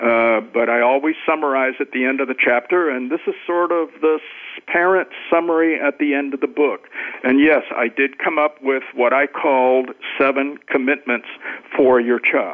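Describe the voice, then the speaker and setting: Keeping his loudness very even and his intonation fairly even, a man speaks at a moderate pace. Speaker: education author and cross-cultural specialist. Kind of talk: radio interview.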